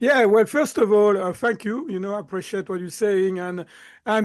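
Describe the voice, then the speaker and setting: A man with a slight French accent speaks in a high pitch. His pitch variation is ordinary, and the background is quiet. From southern France. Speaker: mindset coach. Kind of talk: interview.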